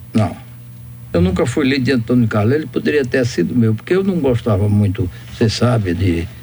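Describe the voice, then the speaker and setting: A man speaks at a fairly quick pace with lively intonation and very even loudness. Noticeable background noise runs underneath. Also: medium pitch for a man. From Brazil, interior of Bahia. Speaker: doctor and former politician. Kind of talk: radio interview.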